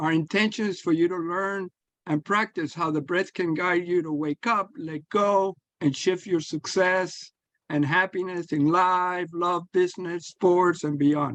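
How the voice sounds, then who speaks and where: A man with a high pitch speaks at a fairly slow pace with fairly even intonation, the sound dry and close with no echo against a quiet background. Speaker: breathwork coach, podcast host. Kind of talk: podcast intro and breathing guidance.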